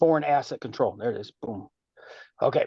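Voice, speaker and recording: The pace here is fairly quick. It is a man's voice. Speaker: carpenter giving advice in study group. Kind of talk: group video call discussion. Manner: fast; halting, filler-heavy.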